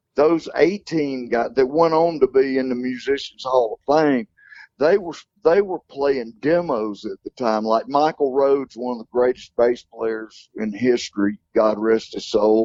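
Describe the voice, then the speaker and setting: A man's fairly slow speech with a Southern US accent and ordinary pitch variation. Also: medium pitch for a man. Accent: Southern US (Georgia). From US South, Athens Georgia. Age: 60s. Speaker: country singer. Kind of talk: interview.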